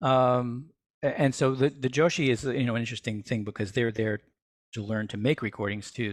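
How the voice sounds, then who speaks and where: This is a man speaking. His pitch is medium. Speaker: university music technology director giving a talk. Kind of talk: Q&A session. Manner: fast; conversational, with fillers.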